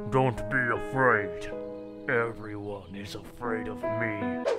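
A man's put-on character voice at a fairly low pitch and fairly slow pace, with loud music in the background. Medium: fan dub. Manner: melodramatic.

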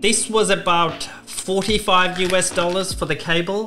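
A man with a high voice speaks at a fairly slow pace as faint music plays in the background. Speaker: aviation content creator. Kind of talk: casual product review vlog. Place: home room.

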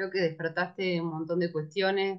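Against a quiet background, a woman with a Rioplatense accent speaks at a medium pitch. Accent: Argentine Spanish (rioplatense). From Argentina, rural Buenos Aires province. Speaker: moderator, academic researcher; moderator. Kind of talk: event moderation and speaker introductions. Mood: warm, friendly. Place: home room. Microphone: webcam.

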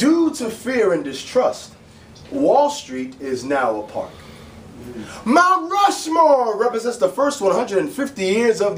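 A man speaks at a fairly slow pace with an extremely high pitch and very wide pitch swings, with audible room echo and light background noise. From Bronx, New York. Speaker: spoken word poet and actor. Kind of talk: spoken word poetry performance at an open mic. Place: bar. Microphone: camera far.

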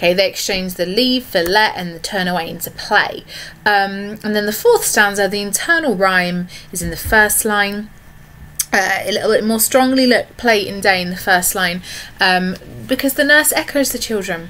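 A woman's bright, sharp tone at a moderate pace. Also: medium pitch for a woman, ordinary pitch variation.

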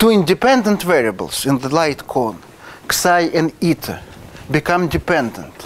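A Russian accent over light background noise. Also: man. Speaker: mathematics professor. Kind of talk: lecture. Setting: lecture hall with audience. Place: classroom. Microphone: lapel.

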